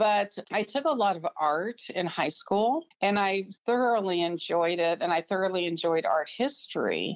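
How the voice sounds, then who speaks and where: A woman's ordinary speaking voice, medium in pitch, at a moderate pace with very even loudness and hardly any pauses. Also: lively intonation. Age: 60s. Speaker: physical therapist and artist. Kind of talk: interview.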